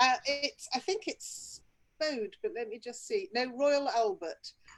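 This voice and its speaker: A woman with an English accent speaks at a fairly slow pace in a high voice that makes very wide pitch swings. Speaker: business owner. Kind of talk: casual chat.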